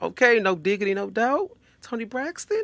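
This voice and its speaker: This man speaks with an American accent. His tone is animated, bright and sharp. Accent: Southern twang with some Louisiana. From Texas, Houston. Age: 30s. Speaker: podcast host. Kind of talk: casual podcast monologue.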